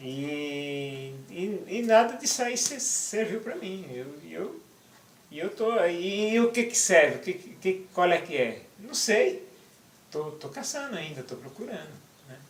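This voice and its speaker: A man with a high pitch speaks very slowly, his pitch swinging very widely and his loudness shifting greatly. The room echo is audible, and background noise is noticeable. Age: 60s. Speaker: interviewee, activist writer. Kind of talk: interview. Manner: halting, repeats words.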